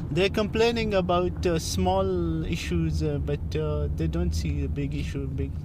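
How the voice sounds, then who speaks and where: Against noticeable background noise, a man with a very deep, low pitch speaks at a very slow pace in a monotone, flat delivery with hardly any pauses. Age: 20s. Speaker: taxi driver. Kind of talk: casual chat. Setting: in a car. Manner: halting.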